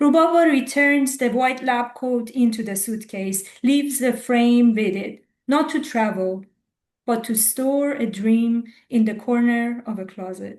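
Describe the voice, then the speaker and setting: With an Iranian accent, a woman speaks high at a fairly slow pace, her pitch varying in an ordinary way. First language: Farsi. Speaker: poet. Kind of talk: poetry reading.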